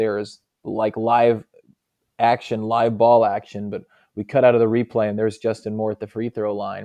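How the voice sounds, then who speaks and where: This man has an unremarkable speaking voice at a medium pitch. He talks at a moderate pace. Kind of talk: conversational interview, explaining his work. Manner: relaxed, articulate, anecdotal.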